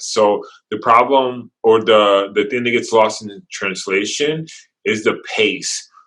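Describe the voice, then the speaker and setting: The man's voice sits fairly low in pitch and has a bright, sharp tone. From Brazil. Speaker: videographer, business owner. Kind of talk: interview.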